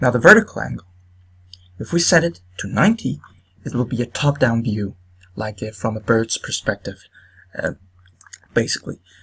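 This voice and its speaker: A man with a non-native accent, speaking with long, frequent pauses. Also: moderate pace. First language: not English. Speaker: video game tutorial maker. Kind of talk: tutorial. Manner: halting, many fillers.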